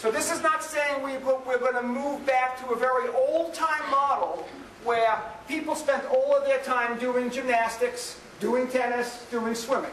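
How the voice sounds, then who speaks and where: Delivered in a New York accent, the speech is fairly slow with fairly even intonation. Audible room echo and noticeable background noise come through. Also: man, extremely high pitch for a man. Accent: New York American English. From New York City. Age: 50s. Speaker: professor. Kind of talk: lecture.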